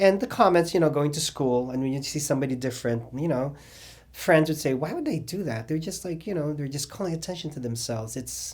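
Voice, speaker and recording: Talking at a very fast pace, a man has a fairly high pitch. His voice is somewhat breathy. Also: ordinary pitch variation. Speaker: drag cabaret singer. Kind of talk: interview. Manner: halting.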